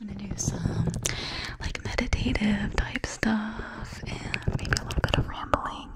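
A soft-spoken, whispering woman at a fairly slow pace over loud background noise. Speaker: ASMR creator. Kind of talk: soft guided meditation chat. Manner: soft whisper close to microphone. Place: home room. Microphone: studio mic.

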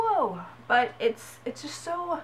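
The speech moves at a very slow pace against light background noise. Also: woman. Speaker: gaming vlogger. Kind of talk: casual vlog rant. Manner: animated. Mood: exasperated ranting. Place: home room. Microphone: webcam.

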